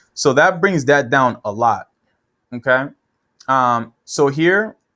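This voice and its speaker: A man speaks at a very slow pace with a fairly high pitch. His tone is bright and sharp, and his intonation lively. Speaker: web marketing consultant. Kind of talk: screen-share tutorial. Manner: casual, with repetitions and fillers.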